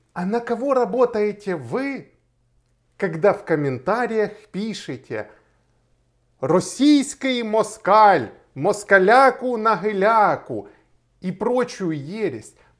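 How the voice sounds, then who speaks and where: A man with a high pitch speaks very slowly, leaving long, frequent pauses. His intonation is lively, and the background is quiet. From Ukraine, Kharkiv; Ukraine. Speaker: lawyer. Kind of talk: video blog monologue. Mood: firm, argumentative. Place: home room.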